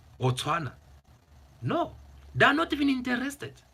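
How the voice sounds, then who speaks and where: Animated and bright with a sharp edge, a man's high voice swings very widely in pitch at a moderate pace. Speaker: political commentary YouTuber. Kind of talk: opinion monologue to camera. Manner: animated, repetitive.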